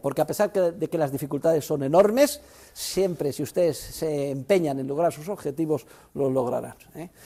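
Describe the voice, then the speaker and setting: A man talks in a fairly high pitch with a dark, mellow tone and lively intonation. The recording is very clean, with a silent background. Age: 60s. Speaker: university professor. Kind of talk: lecture.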